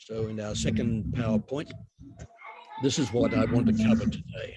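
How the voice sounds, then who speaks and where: The speaker talks at a fairly slow pace with an Australian accent. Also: man. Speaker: university lecturer. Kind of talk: academic webinar lecture. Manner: deliberately slow.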